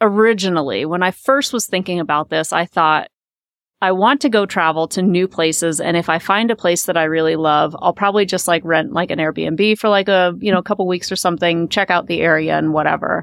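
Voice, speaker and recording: A woman with an American accent and a normal speaking voice talks at a fairly quick pace with a fairly low pitch, ordinary pitch variation and very even loudness, in a very clean recording with a dry, close sound, no echo and a silent background. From US Midwest, Omaha, Nebraska. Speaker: financial coach. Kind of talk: casual interview.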